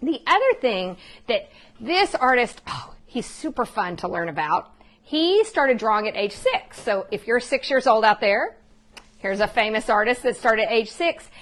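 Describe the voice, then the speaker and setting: An animated woman with an American accent, high in pitch, with very wide pitch swings. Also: quiet background. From Texas. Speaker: art teacher. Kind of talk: live online art lesson for families. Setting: live online stream from home.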